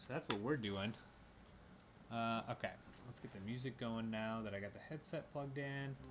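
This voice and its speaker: A man speaks at a moderate pace and medium pitch, with ordinary pitch variation and long, frequent pauses. His loudness swings widely, and audible room echo fills the space. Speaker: gaming streamer. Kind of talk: casual live stream chat. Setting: home garage. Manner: casual, filler-heavy.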